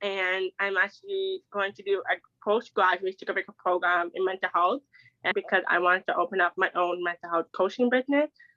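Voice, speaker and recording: A woman talks at a fairly quick pace in a plain, everyday voice. Her pitch is medium and her intonation fairly even. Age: 20s. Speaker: deaf advocate. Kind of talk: interview.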